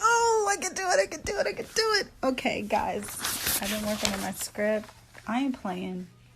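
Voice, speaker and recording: Noticeable background noise fills the recording. Over it, a woman speaks at a moderate pace. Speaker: actress. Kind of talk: casual vlog talk to camera. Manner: upbeat, energetic.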